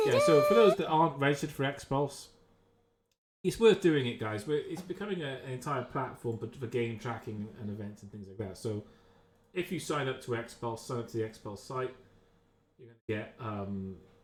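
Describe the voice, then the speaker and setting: A man's medium-pitched, somewhat breathy voice at a moderate pace, with lively intonation and big swings in loudness. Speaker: game caster. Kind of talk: live commentary. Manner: soft-spoken. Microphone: microphone too quiet.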